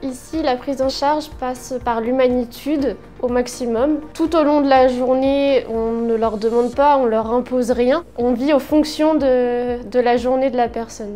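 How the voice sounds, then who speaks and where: A woman's high voice at a fairly slow pace, fairly even intonation and hardly any pauses, over noticeable background noise. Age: 20s. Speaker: care worker. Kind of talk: workplace testimonial interview. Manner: hesitant, with fillers.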